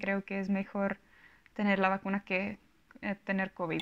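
A woman speaks with a Czech accent. The background is quiet. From Czech Republic. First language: Czech (speaking Spanish). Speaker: vlogger. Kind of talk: casual vlog monologue. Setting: home recording. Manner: halting. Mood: calm, personal, reflective. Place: home room. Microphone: lapel.

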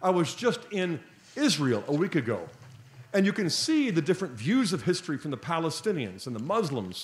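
A man talks at a fairly quick pace in a high pitch with very wide pitch swings, and room echo can be heard. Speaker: conference speaker. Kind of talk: lecture. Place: hall. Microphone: podium.

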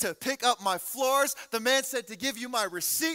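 Music plays in the background as a man speaks in a raised, projected voice. His pace is fairly quick, with ordinary pitch variation. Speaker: pastor preaching. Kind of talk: sermon. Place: church. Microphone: headset.

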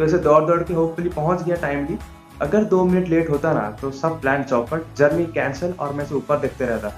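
Faint music plays in the background as someone speaks at a moderate pace, with audible room echo. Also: man, ordinary pitch variation. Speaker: travel vlogger. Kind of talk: casual vlog chat. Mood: amused storytelling. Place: home room. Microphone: phone near.

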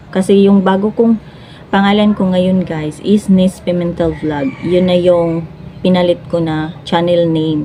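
Over noticeable background noise, a woman with a Cebuano accent speaks at a fairly low pitch with fairly even intonation. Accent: Cebuano (Bisaya) accent in Tagalog. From Cebu, Philippines. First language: Cebuano (speaking Tagalog). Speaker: vlogger and live streamer. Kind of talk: casual vlog talk to camera.

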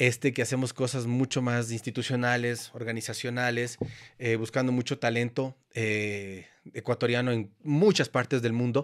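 Against a quiet background, a man talks at a moderate pace at a medium pitch. He has an ordinary speaking voice. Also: fairly even intonation. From Ecuador. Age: 50s. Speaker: photographer and former motorcycle racer; podcast guest. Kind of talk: casual chat; interview answer. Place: studio. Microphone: studio mic.

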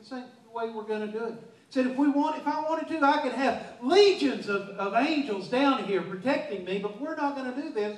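With audible room echo, a man speaks fairly quickly with hardly any pauses, his extremely high voice showing lively intonation and big swings in loudness. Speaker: pastor. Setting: church. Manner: earnest and emphatic, punching key words with repetition; halting, frequently stammers and restarts mid-sentence. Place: church.

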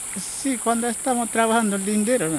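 A man is heard with light background noise and a dry sound with no echo. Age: 50s. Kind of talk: interview answer. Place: waterside. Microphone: phone near.

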